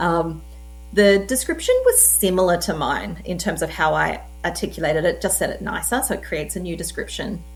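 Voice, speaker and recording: There is audible room echo around a woman speaking with an Australian accent. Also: fairly quick pace. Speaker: tech presenter. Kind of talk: tutorial. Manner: casual, conversational.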